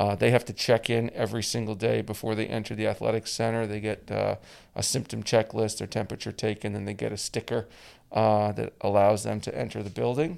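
A man's fairly low voice with vocal fry and a Canadian accent, at a fairly quick pace with fairly even intonation, on a very clean recording with a silent background. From Canada. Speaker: college lacrosse head coach. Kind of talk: podcast interview.

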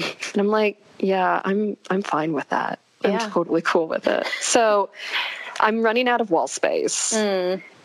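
A woman talks in an unremarkable speaking voice at medium pitch, with ordinary pitch variation and a fairly slow pace, and the sound is dry and close with no echo. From California. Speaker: equestrian social media creator. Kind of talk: casual interview chat.

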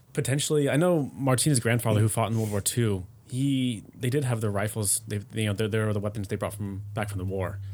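A man with a plain, everyday voice and a fairly low pitch talks at a fairly quick pace, with ordinary pitch variation and hardly any pauses. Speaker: expat living in Germany. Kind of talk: casual chat.

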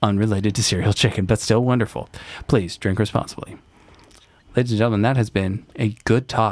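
A man with a normal speaking voice talks at a fairly quick pace, fairly low in pitch, with fairly even intonation and very even loudness. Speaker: podcast host. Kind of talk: casual chat. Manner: joking.

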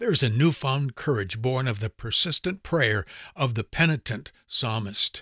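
A man speaks at a medium pitch and a moderate pace, with lively intonation and a bright, sharp tone. The recording is very clean with a silent background and a dry, close sound with no echo. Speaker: devotional podcaster. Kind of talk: devotional monologue. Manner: formal.

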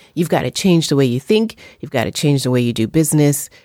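A woman speaks in a New York accent with lively intonation. The sound is dry and close, with no echo. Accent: New York American. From US, New York. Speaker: journalist and filmmaker. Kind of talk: interview.

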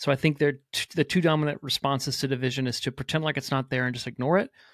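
A man speaks with fairly even intonation in a plain, everyday voice. The sound is dry and close with no echo, on a very clean recording with a silent background. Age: 40s. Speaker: pastor. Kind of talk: casual chat.

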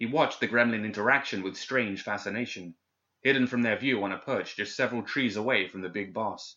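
The background stays quiet. A natural reading voice is heard.

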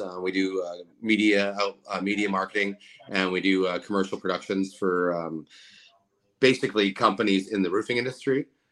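An unremarkable speaking voice from a man, fairly low in pitch and fairly even in intonation, at a fairly quick pace. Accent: Canadian. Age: 40s. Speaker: roofing contractor and social media personality. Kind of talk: casual interview.

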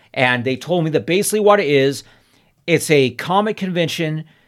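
A man with an American accent speaks at a fairly high pitch with lively intonation. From Southern California, Inland Empire and high desert. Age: 50s. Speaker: collectibles vendor. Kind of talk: casual chat.

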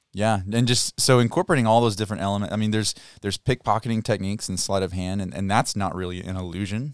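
A man with a Kentucky accent, a fairly low pitch, fairly even intonation and a very fast pace, in a dry, close sound with no echo and a very clean recording against a silent background. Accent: Kentucky Southern US. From Kentucky, Muhlenberg County. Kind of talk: casual interview. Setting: studio.

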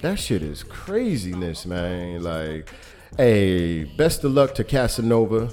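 A man with an American accent speaks very slowly in a fairly low voice with lively intonation, amid audible room echo and noticeable background noise. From New York City. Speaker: podcast host. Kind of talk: casual chat. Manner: animated.

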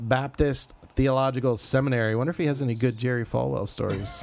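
Here is a man with an unremarkable speaking voice. His pitch is medium and his intonation fairly even. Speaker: pastor podcast host. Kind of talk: casual chat.

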